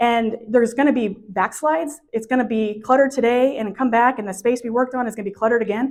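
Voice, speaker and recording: Against a quiet background, a woman talks at a very fast pace in a fairly high pitch with ordinary pitch variation. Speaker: professional organizer. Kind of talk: workshop presentation.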